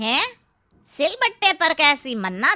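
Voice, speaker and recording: Using a cartoonish character voice, a woman speaks at a high pitch with very wide pitch swings. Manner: nervous, startled.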